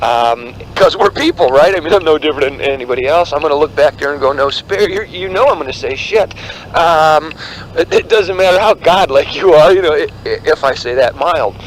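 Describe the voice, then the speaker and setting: A high-pitched man talks at a fairly quick pace with lively intonation over noticeable background noise. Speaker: spiritual teacher. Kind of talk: spontaneous spiritual talk. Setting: outdoors walking on a mountain road. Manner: hesitant, many fillers.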